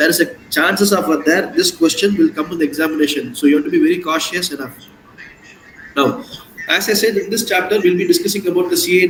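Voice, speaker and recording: Very fast speech from a man amid noticeable background noise. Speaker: CA exam coaching teacher. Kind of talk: online lecture.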